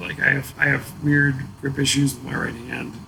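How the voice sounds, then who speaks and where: Noticeable background noise sits under the voice. A man speaks at a fairly high pitch. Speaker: chef and restaurant owner. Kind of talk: casual chat. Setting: bar.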